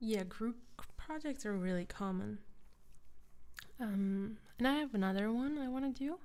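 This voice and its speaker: Soft-spoken, a woman talks in a dark, mellow tone at a fairly high pitch. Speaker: ASMR creator. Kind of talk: casual livestream chat.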